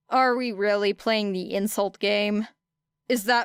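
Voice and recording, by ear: The passage is read aloud in a natural voice. Nothing much is heard behind it.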